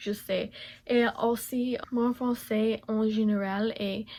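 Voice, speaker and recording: Speaking very slowly, a woman holds a medium pitch in a monotone, flat intonation. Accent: strong English. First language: English (speaking French). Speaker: beauty vlogger. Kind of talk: makeup tutorial. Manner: halting, many hesitations.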